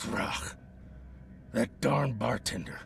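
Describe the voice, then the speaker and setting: Putting on a raspy character voice at a medium pitch, a man speaks over clear background noise. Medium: video game. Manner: nervous, stammering.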